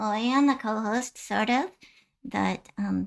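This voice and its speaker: Fairly slow and fairly high-pitched, a female-sounding voice performs a put-on character voice. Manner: playful, curious.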